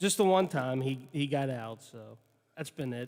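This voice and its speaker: A man speaks at a moderate pace with a fairly high pitch and ordinary pitch variation. The background is quiet. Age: 30s. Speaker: radio co-host. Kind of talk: casual chat. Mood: amused, telling a funny story. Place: home room. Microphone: studio mic.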